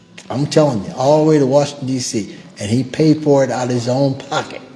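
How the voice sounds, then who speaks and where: A man talks at a fairly quick pace with an American accent. His pitch is fairly high, and there is noticeable background noise. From US South, Natchez, Mississippi. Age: 70s. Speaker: civil rights survivor. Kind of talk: testimony. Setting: museum event with audience.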